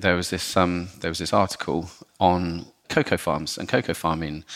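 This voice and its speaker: A man with a very deep, low voice speaks at a moderate pace in a very clean recording with a silent background. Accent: southern English. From southern England, Portsmouth. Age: 40s. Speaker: chocolate company executive. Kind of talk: podcast interview. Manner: halting, repeats words.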